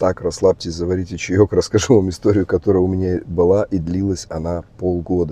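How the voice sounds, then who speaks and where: Speaking at a moderate pace, a man with a very deep, low pitch keeps his intonation monotone and flat. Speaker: vlogger, emigrant in Germany. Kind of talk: casual storytelling vlog. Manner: casual, with hesitations.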